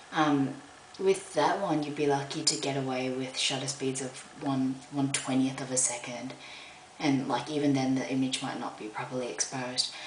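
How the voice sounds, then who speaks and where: Against noticeable background noise, a woman with an Australian accent speaks at a moderate pace with a very deep, low pitch. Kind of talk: casual product review to camera. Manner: hesitant, many filler words.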